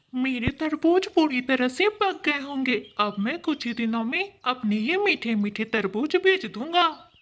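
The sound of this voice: In a cartoonish character voice, a woman with a high pitch talks at a moderate pace with hardly any pauses.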